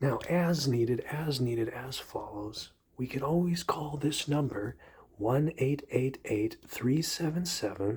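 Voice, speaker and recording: Everything is whispered. The delivery moves at a fairly slow pace. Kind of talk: ASMR whisper ramble.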